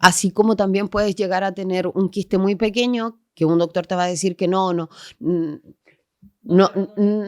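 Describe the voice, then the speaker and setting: This very clean recording with a silent background has a dry, close sound and no echo. A woman speaks at a moderate pace in a medium pitch, with fairly even intonation. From Chile. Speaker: geographer, urban planner, massage therapist. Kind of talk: podcast interview answer.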